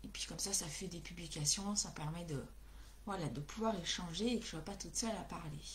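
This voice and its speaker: Fairly quick speech from a woman amid noticeable background noise and audible room echo. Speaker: craft demonstrator. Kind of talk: live craft tutorial. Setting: livestream. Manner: hesitant, many fillers.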